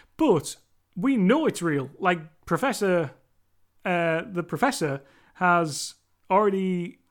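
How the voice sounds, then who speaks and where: On a very clean recording with a silent background, a man with a Cumbrian accent speaks in a high voice with lively intonation. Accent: Cumbrian northern English. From Cumbria, northern England. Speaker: horror movie podcaster. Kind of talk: solo movie review monologue. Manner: casual, conversational, filler words.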